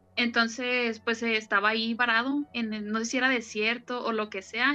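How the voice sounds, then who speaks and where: Bright and sharp in tone, a woman's high voice stays monotone with flat intonation. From Guadalajara, Mexico. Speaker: podcast co-host. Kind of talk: casual chat with storytelling.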